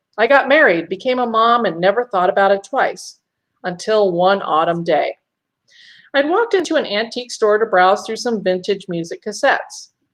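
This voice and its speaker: A woman with a plain, everyday voice, lively intonation, and moderate pace against a quiet background. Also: fairly high pitch for a woman. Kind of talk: first-person ghost story narration.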